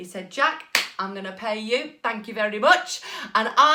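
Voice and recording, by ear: In a natural voice with ordinary pitch variation, the passage is read aloud.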